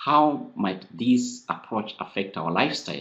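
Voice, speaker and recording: A man with a Kenyan accent at a moderate pace. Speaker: friar, seminar presenter. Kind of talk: presentation to a seminar. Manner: halting, many repeated words.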